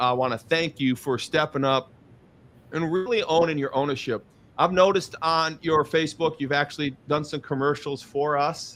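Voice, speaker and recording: The recording is very clean, with a silent background. A man speaks at a fairly high pitch and a moderate pace. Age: 50s. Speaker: online show host and business owner. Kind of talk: casual interview. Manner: animated.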